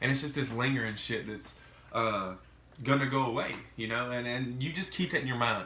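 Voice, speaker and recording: A man with a Mississippi accent speaks at a medium pitch in a bright, sharp tone. Audible room echo surrounds his voice. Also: ordinary pitch variation, fairly quick pace. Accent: Southern US (Mississippi). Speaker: vlogger sharing mental health experience. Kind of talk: casual vlog monologue. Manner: casual, halting with fillers.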